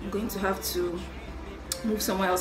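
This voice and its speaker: Very fast speech over loud background noise. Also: woman. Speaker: beauty vlogger. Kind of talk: tutorial. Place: home room. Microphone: phone near.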